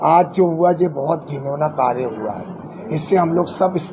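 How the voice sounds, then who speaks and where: A man with a fairly high pitch and ordinary pitch variation, amid noticeable background noise. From Jabalpur, Madhya Pradesh, India. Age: 70s. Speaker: transgender community leader, former councillor. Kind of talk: press conference statement. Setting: press conference.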